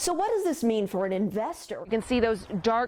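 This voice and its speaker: The voice is a woman's. There is noticeable background noise behind it. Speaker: TV news reporter. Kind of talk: TV news reporter standups.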